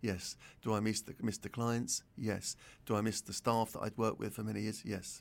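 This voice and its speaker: This man speaks with a London accent at a moderate pace. His pitch is fairly low and his intonation monotone and flat. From North London. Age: 60s. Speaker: retired pharmacist and entrepreneur. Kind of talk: interview.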